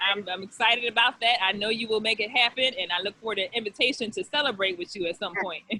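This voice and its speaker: At a very fast pace with hardly any pauses, a woman speaks with a fairly high pitch. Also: ordinary pitch variation. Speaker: school administrator and interview host. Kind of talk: interview.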